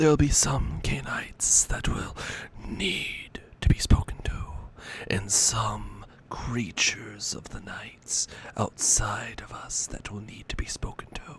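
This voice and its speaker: A man uses a put-on character voice, whispering fairly slowly. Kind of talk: old-world aristocratic speech. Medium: actual play. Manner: formal, courtly, measured.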